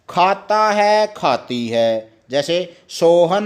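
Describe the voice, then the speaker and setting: A man with a high-pitched voice and a Haryana accent. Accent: Haryanvi. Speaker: teacher. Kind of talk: lesson for children.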